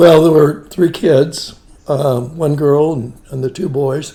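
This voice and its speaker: With a western Pennsylvania accent, a man speaks at a fairly high pitch. His pace is fairly slow and his intonation fairly even. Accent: western Pennsylvania American. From western Pennsylvania (Beaver Falls area). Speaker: family elder interviewed about his life. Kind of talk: family oral-history interview.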